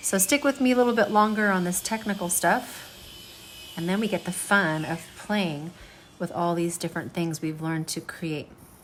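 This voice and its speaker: A woman speaks at a moderate pace in a normal speaking voice. Her pitch is fairly low and her intonation lively. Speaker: art teacher. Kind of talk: tutorial.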